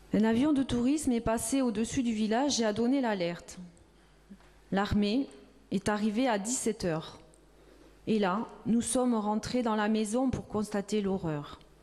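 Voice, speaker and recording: Fairly slow and broken by long, frequent pauses, a woman's fairly high-pitched voice has a dark, mellow tone, very even loudness and ordinary pitch variation. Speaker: reader. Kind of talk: reading of a witness testimony.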